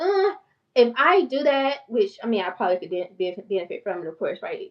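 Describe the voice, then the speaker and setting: With a strong Southern US accent, a woman speaks in an animated, passionate tone, her pitch swinging very widely. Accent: strong country Southern. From North Carolina small town. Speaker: mental health therapist and finance YouTuber. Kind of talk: casual livestream talk. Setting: YouTube livestream. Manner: fast.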